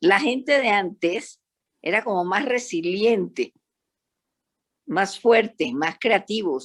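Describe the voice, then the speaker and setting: Here is a woman with fairly high pitch. Her intonation is lively. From Panama. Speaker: psychologist. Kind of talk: panel discussion. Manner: animated.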